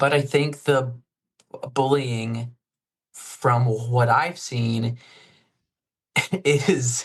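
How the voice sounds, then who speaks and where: The voice sounds somewhat breathy, with fairly even intonation. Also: man. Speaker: actor and stuttering advocate. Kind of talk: interview answer. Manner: stutters.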